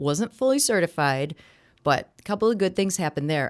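A woman with an Upper Midwest accent talks at a fairly quick pace in a very clean recording with a silent background. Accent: Upper Midwest American. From Wisconsin, Kenosha. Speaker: TV meteorologist and anchor. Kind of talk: interview. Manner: conversational.

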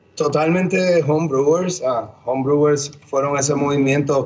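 Moderate-paced speech from a man, with noticeable background noise behind it. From Puerto Rico, Bayamón. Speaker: head brewer. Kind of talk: casual interview chat.

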